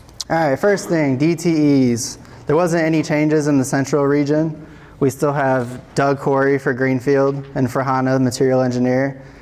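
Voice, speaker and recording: Over noticeable background noise, a man with a fairly high voice speaks at a very even loudness and with fairly even intonation. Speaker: state transportation materials engineer. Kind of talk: conference presentation. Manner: fast.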